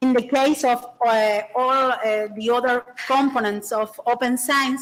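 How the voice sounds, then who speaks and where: In a Spanish accent, the speaker talks at a fairly slow pace with very even loudness and fairly even intonation. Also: woman, high pitch for a woman. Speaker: university librarian presenter. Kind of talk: conference presentation. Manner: halting, many fillers.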